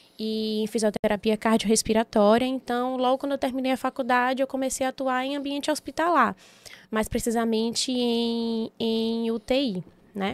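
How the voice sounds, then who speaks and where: A woman speaks in an unremarkable speaking voice, fairly high in pitch, at a moderate pace with fairly even intonation. The sound is dry and close, with no echo. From Bahia, Brazil (Itabuna, southern Bahia). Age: 30s. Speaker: physiotherapist and entrepreneur. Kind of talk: podcast interview.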